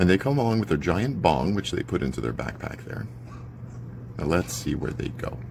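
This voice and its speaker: Over noticeable background noise, a man with a very deep, low pitch speaks fairly quickly, his pitch swinging very widely. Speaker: neighbourhood watchdog vlogger. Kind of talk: live video commentary. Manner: animated; loud.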